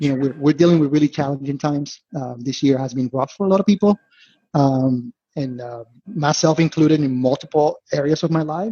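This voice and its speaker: A man's fairly quick delivery sits at a fairly high pitch, somewhat breathy, with ordinary pitch variation. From Venezuela. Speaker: investment analyst. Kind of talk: podcast interview.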